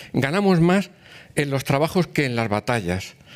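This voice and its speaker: A man speaks in a normal speaking voice at a fairly high pitch. His pace is moderate, and the background is quiet. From rural Spain. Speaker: cultural institution president, former politician; former politician. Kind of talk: formal introduction speech. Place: hall. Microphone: podium.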